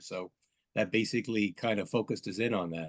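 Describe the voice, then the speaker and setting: Here is a man with a plain, everyday voice. He talks at a fairly quick pace with ordinary pitch variation. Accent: American. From New Jersey, Monmouth County. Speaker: congressional candidate. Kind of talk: political debate.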